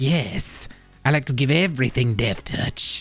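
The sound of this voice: A put-on character voice, pitched low to middle, speaks at a moderate pace over faint background music.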